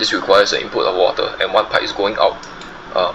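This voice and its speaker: A man talks at a fairly quick speed, with noticeable noise behind him. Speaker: gaming streamer. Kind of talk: gameplay commentary. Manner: soft-spoken; halting, many fillers.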